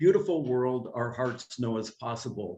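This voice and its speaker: At a moderate pace, the speech comes out somewhat breathy. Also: man. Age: 70s. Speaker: intentional community founder. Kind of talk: slideshow presentation.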